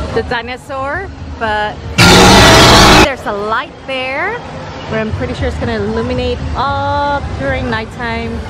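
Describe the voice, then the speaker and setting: A woman speaks at a fairly slow pace with long, frequent pauses, her voice dry with no echo over loud background noise. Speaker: theme park vlogger. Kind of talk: casual vlog chat. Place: street. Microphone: phone near.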